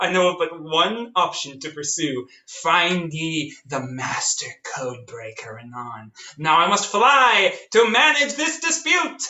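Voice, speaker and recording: A high-pitched, fairly slow put-on character voice from a man. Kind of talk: Shakespearean verse parody. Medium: audio drama.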